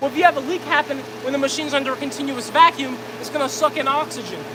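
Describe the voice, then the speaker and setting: Loud, energetic delivery at a very fast pace over noticeable background noise. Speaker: livestreamer demonstrating plastic pyrolysis reactor. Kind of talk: live stream demo. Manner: loud, raised voice over pump noise; casual, energetic.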